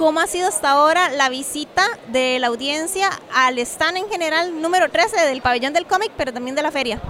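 A woman's raised, projected voice, high in pitch, at a fairly quick pace with ordinary pitch variation, amid noticeable background noise. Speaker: podcast host. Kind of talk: casual chat and interviews. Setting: book fair venue.

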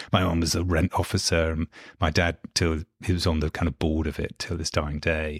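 A man with a very deep, low pitch talks at a moderate pace in a dry, close sound with no echo. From London, England. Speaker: professor of theology. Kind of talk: interview conversation. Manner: thoughtful, academic.

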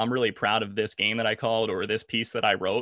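With an American accent, the voice has a bright, sharp tone and ordinary pitch variation, recorded dry and close with no echo on a very clean recording with a silent background. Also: man. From South Jersey, US. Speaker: sports play-by-play broadcaster. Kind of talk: casual interview.

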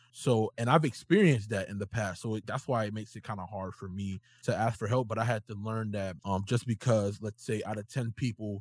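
With a dry, close sound and no echo, a man speaks fairly quickly in a fairly low, somewhat breathy voice with fairly even intonation. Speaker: podcast host. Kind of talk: casual chat.

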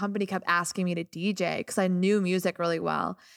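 A normal speaking voice from a woman, medium-pitched with fairly even intonation and an American accent, on a very clean recording with a silent background. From US Midwest, small-town Illinois. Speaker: DJ. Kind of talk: casual chat.

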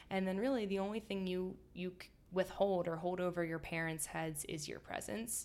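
A woman with an American accent has an ordinary speaking voice. She uses a medium pitch, a moderate pace and fairly even intonation. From US, suburban Philadelphia. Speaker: food blogger. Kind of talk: casual chat. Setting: in an apartment, face to face.

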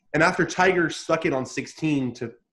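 With an American accent, a man talks using ordinary pitch variation. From US, Southern California. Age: 20s. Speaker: golf journalist. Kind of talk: casual interview.

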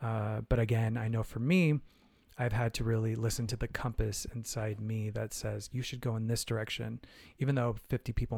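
A man with an American accent speaks at a moderate pace and medium pitch, his tone dark, mellow, and somewhat breathy. The recording is very clean, with a silent background. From Arizona, US (Phoenix). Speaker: choreographer and Broadway performer. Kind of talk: casual interview.

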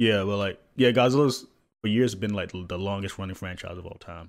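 This man has a plain, everyday voice, pitched fairly low. He keeps a moderate pace with ordinary pitch variation. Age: 20s. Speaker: podcast co-host. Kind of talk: casual chat. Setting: video call.

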